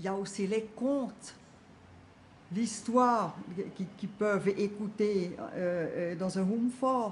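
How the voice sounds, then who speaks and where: Somewhat breathy, a woman speaks at a very slow pace with fairly even intonation and long, frequent pauses. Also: medium pitch for a woman. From Switzerland, canton of Bern. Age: 70s. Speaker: collector of voodoo objects. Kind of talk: documentary interview answer.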